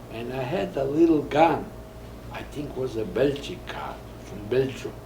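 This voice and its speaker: A man talks at a moderate speed. Audible room echo and noticeable background noise accompany him. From Poland. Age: 80s+. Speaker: Holocaust survivor. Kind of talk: interview. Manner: halting.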